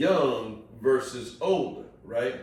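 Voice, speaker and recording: Audible room echo and noticeable background noise accompany a man whose high-pitched voice makes very wide pitch swings. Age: 50s. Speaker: podcast guest. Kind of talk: casual chat.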